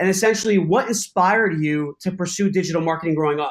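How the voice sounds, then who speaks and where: A man's voice, high in pitch with ordinary pitch variation, moves at a fairly quick pace. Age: 30s. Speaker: podcast host. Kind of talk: interview. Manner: casual, with many fillers.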